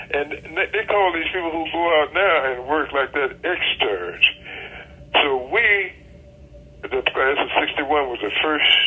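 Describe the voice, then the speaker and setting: Lively intonation in an American accent at a fairly slow pace, with long, frequent pauses and noticeable background noise. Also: man. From Georgia, USA. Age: 80s+. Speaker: pediatric surgeon. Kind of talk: interview answer.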